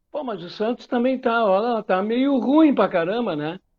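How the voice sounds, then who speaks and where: Here a man with an extremely high pitch talks at a moderate pace with lively intonation. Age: 60s. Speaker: football pundit. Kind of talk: casual football debate. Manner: halting, repetitive fillers.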